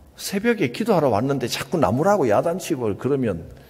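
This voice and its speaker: Very wide pitch swings in a male voice that is somewhat breathy. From Gyeongsang Province, South Korea. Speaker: pastor. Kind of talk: sermon.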